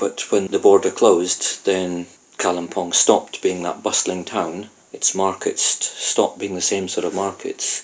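The pace here is fairly slow. A man talks in a Scottish accent. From Scotland. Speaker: Buddhist teacher. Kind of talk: casual interview storytelling.

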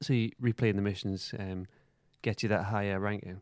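Speaking at a moderate pace with a Geordie accent, a man is heard in a dry, close sound with no echo and a silent background on a very clean recording. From Newcastle, northeast England. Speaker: podcast co-host. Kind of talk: casual chat; episode plot recap.

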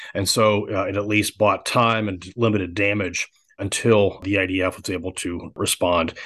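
A man with an ordinary speaking voice, fairly low in pitch, at a moderate pace over a quiet background. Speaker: defense analyst. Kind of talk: expert interview.

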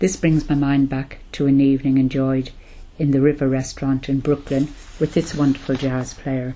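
Her voice is very deep and low, with a dark, mellow tone. The woman speaks at a moderate pace in a monotone, flat intonation. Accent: Irish. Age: 70s. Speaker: older person in lockdown, diarist. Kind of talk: audio diary.

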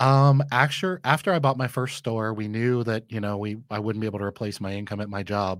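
On a very clean recording with a silent background, a man with a medium pitch talks at a fairly quick pace with ordinary pitch variation and hardly any pauses. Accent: Midwestern American. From Michigan, Flint. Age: 40s. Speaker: small business owner. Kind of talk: interview. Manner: confident.

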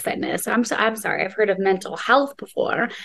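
A woman with a fairly high pitch talks fairly quickly, and noticeable background noise is present. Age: 30s. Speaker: podcast host and TV host. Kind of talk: casual interview chat.

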